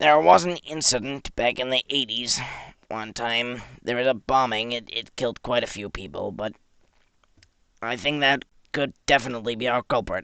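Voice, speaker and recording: In a put-on character voice, a raspy man speaks at medium pitch with ordinary pitch variation and long, frequent pauses, the sound dry and close with no echo against a quiet background. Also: moderate pace. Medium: machinima. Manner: formal, authoritative.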